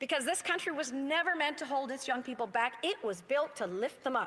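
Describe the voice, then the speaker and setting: A woman with a Canadian accent talks at a moderate pace in a high voice, her intonation lively. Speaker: member of parliament. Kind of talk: parliamentary speech. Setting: legislative chamber. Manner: formal.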